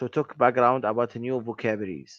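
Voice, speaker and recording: A man with a non-native accent at a fairly quick pace, against a quiet background. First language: not English. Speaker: English language student. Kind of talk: language lesson conversation. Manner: halting.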